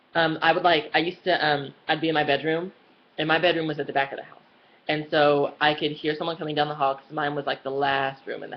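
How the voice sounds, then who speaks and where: Very fast and in a very deep, low pitch, a woman talks with monotone, flat intonation. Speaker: vlogger. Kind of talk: personal vlog storytelling. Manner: casual, lots of fillers.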